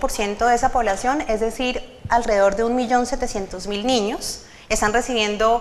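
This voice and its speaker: A high-pitched woman's voice with fairly even intonation, audible room echo and noticeable background noise. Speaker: government official presenting policy. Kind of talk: conference presentation. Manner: fast.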